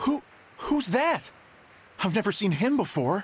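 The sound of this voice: A man uses a put-on character voice, high-pitched and slightly husky at the edge. He speaks at a fairly slow pace with big pitch swings.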